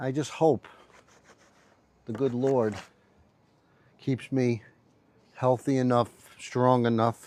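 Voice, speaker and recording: A man at medium pitch talks very slowly in a flat monotone, leaving long, frequent pauses. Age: 70s. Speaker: motorcycle mechanic and rider. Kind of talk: casual livestream chat while working. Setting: TikTok live while cleaning bike. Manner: casual, hesitant with many fillers.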